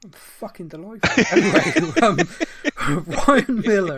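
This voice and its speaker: A man with a Bristolian accent. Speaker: podcast co-host. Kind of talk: casual chat.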